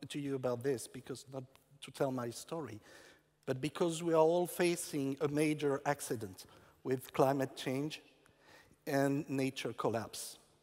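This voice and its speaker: A man with a fairly high pitch talks at a fairly slow pace, with ordinary pitch variation and long, frequent pauses. The recording is very clean, the background silent. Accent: French. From France. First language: French. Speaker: urban farming entrepreneur. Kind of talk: conference talk. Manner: halting.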